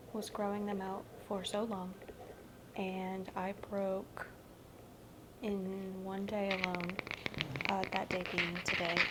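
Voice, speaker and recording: Against noticeable background noise, a woman talks at a medium pitch and a very slow pace. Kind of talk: ASMR rambling to camera. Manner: soft-spoken, rambling, self-deprecating.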